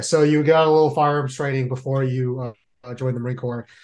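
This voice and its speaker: In an American accent, the voice is somewhat breathy, with monotone, flat intonation. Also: man. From San Jose, California. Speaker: podcast host, Marine veteran. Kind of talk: interview.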